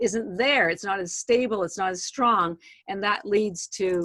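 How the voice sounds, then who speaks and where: This is a woman speaking. Her voice has a medium pitch. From Canada. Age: 60s. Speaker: supplement company founder. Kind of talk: podcast interview. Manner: animated, halting with many fillers.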